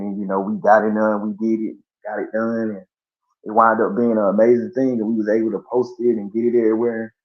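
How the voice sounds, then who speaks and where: Someone with an American accent speaks very fast in a monotone, flat intonation. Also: man. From US South, Columbus, Georgia. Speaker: rapper and promoter. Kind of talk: casual interview.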